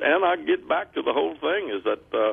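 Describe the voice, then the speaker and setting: At a moderate pace, a man talks with a Texan accent. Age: 60s. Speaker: gun store owner. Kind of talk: radio interview. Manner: halting.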